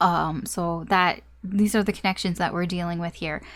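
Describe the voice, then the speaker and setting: This woman's monotone, flat intonation holds across her moderately paced speech. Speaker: tarot reader. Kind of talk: tarot reading monologue. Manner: casual, hesitant with many fillers.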